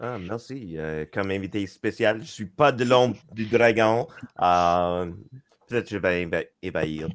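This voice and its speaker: A man talks very slowly in a fairly low voice whose pitch varies in an ordinary way. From western Canada, Victoria. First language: English (speaking French). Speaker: panel guest, game designer. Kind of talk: panel discussion. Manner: halting.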